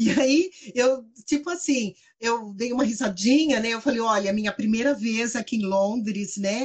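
With an animated tone and ordinary pitch variation, a woman speaks fairly slowly in a fairly high voice. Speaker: bank manager. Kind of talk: casual chat.

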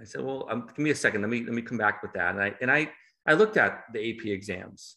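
With an American accent, a man talks at a fairly quick pace in an unremarkable speaking voice, with ordinary pitch variation over a quiet background. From Massachusetts, US. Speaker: school curriculum specialist. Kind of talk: casual interview.

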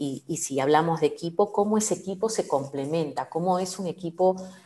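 A woman speaks in a fairly low voice with a dark, mellow tone. Her pitch rises and falls in an ordinary way. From Peru, Lima. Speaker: agile coach. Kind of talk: interview.

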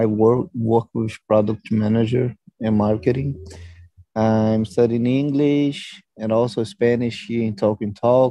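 With a Brazilian accent, a man speaks at a fairly slow pace in a medium pitch, keeping his intonation fairly even. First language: Portuguese. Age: 20s. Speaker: product manager. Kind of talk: group English conversation practice.

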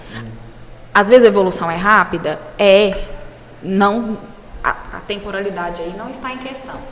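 At a moderate pace with long, frequent pauses, a woman of medium pitch shows ordinary pitch variation against noticeable background noise. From Brazil, interior of Goiás (Jataí). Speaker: pediatrician. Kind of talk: interview. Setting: recorded at a medical school event.

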